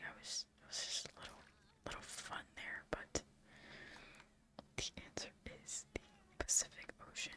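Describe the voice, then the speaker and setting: Someone whispers in a calm tone at a fairly slow pace. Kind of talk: ASMR quiz host, soft-spoken trivia with gameplay commentary. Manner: soft, whispery, calm.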